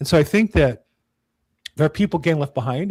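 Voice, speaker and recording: The delivery is very fast. An American accent comes through. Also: man. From California. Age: 60s. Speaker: real estate agent. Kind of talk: casual chat. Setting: podcast recording.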